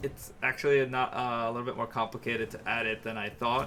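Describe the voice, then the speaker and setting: A man speaks with an American accent. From New York. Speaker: video game streamer. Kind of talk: live gameplay commentary. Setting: live stream. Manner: casual, halting with fillers.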